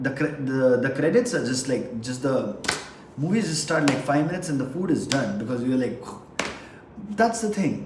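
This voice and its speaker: Speaking at a moderate pace with a non-native accent, a man with a fairly high pitch is heard through audible room echo and noticeable background noise. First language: not English. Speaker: vlogger. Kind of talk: casual monologue. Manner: halting.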